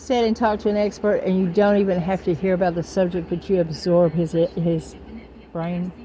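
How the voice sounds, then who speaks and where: A woman speaks at a moderate pace in a medium pitch, her somewhat breathy voice dark and mellow in tone with fairly even intonation. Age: 60s. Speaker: spiritual vlogger. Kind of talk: spiritual monologue to camera. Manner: rambling, informal with swearing.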